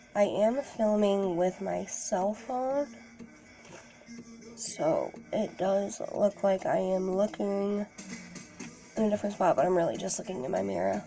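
A woman speaks at a fairly slow pace with long, frequent pauses. Her pitch varies in an ordinary way, and faint music plays in the background. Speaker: beauty vlogger. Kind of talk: makeup tutorial. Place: home room. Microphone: phone near.

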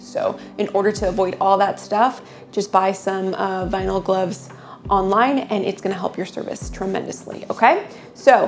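Music plays behind a woman who talks at a moderate pace, her pitch varying in an ordinary way. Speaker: waxing instructor. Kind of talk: tutorial. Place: shop.

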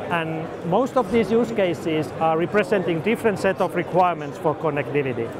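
A man talks at a fairly quick pace, his pitch fairly high with ordinary variation, over clear background noise.

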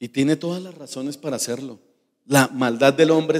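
Over a quiet background, a man speaks in a fairly high voice with fairly even intonation. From Colombia. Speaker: pastor. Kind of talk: sermon. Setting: church. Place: church. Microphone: handheld.

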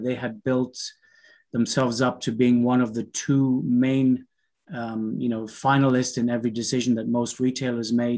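There is no noise behind him. The man talks neither fast nor slow. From Canada. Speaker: business consultant; webinar presenter. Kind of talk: webinar presentation. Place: home room. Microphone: video call.

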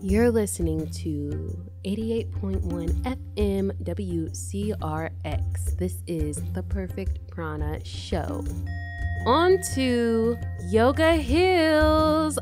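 A woman talks in a very deep, low voice with fairly even intonation while music plays clearly in the background. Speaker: radio show host. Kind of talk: radio host talk and interview intro. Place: studio.

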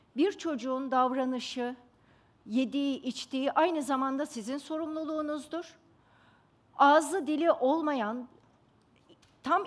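Her pitch is high, with ordinary pitch variation. The woman speaks at a fairly slow pace. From Istanbul, Turkey; Turkey. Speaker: pediatrician; speaker. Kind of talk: stage talk. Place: stage. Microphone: headset.

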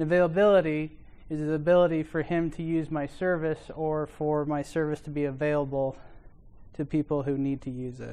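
A man's fairly quick, monotone, flat delivery in a dark, mellow tone. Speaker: conference presenter. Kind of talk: lecture. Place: classroom.

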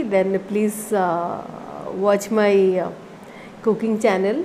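Over light background noise, a woman talks very slowly with fairly even intonation. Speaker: food vlogger. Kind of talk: casual vlog chat. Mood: cheerful, relaxed. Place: home room. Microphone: lapel.

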